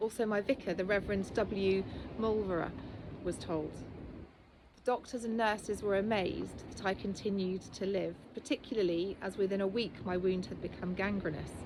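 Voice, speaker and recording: A woman's medium-pitched, fairly evenly intoned voice at a moderate pace, a plain, everyday voice. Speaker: author. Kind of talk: reading of a personal testimony from a book.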